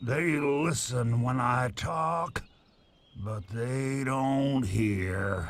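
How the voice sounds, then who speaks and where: Using a put-on character voice, a man speaks at a very slow pace with a medium pitch. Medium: video game. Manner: chatty, wry.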